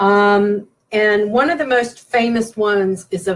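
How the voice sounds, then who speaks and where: A woman with a Southern US accent, medium pitch and fairly even intonation. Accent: Southern twang. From West Virginia. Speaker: paranormal presenter. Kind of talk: lecture. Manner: hesitant with frequent fillers.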